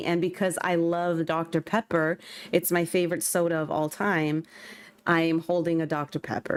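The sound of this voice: Speaking at a fairly slow pace, a woman with a Californian accent uses a fairly low pitch. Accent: Californian, soft swallowed T's.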